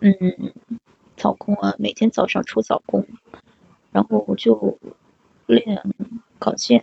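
Very slow speech, with long pauses coming frequently. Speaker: broadcasting graduate. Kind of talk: casual chat. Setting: live stream co-host call.

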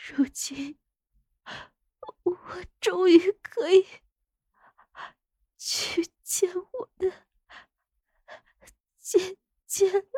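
A woman uses a put-on character voice with an extremely high pitch, a dark, mellow tone and ordinary pitch variation. She goes at a very slow pace with long, frequent pauses, in a dry, close sound with no echo.

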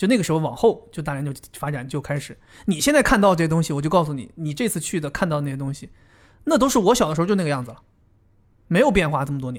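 A man with a fairly high pitch talks at a very fast pace, with lively intonation and big swings in loudness. The recording is very clean, with a silent background. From Dalian, northeast China. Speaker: podcast co-host. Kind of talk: casual chat.

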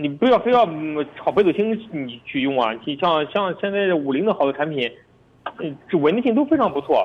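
Over noticeable background noise, a high-pitched man talks at a fairly quick pace with very wide pitch swings. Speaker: used car dealership director. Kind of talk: radio call-in advice chat.

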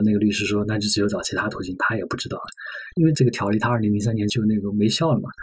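The voice is somewhat breathy and the pace very fast. Audible room echo surrounds it. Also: man, fairly low pitch for a man, ordinary pitch variation. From Sichuan. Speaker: magazine journalist. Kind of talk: podcast interview conversation.

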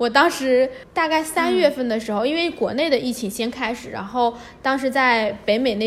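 A woman speaks in an unremarkable speaking voice. Her pitch is fairly high, with ordinary pitch variation. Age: 20s. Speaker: budget backpacker and photographer. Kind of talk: casual interview.

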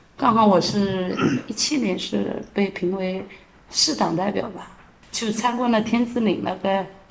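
A woman speaks at a fairly slow pace with fairly even intonation. There is noticeable background noise and audible room echo. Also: medium pitch for a woman. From Jiangsu, China. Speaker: street cleaning team leader. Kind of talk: interview.

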